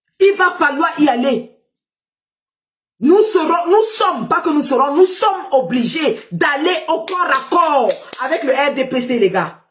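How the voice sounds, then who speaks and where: A woman speaks very slowly with long, frequent pauses and lively intonation. Her pitch is extremely high. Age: old. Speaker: political live streamer. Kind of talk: political livestream commentary. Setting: live stream. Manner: animated, rallying.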